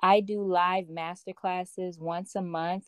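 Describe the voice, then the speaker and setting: In a plain, everyday voice, a woman with an American accent speaks at medium pitch and a fairly slow pace on a very clean recording with a silent background. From Chicago, Illinois. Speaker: personal development coach and author. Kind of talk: interview conversation.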